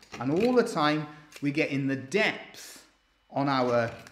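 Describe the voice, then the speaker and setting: A man speaks at a fairly slow pace. The room echo is audible, and light background noise is present. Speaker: woodcarver demonstrating. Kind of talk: tutorial. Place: workshop.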